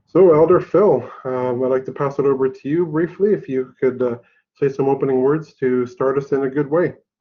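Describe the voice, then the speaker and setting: In a plain, everyday voice, a man with a fairly high pitch speaks at a moderate pace with ordinary pitch variation. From Haida Nation, British Columbia, Canada. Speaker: college director, event host. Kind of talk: formal presentation introduction. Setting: office, online presentation.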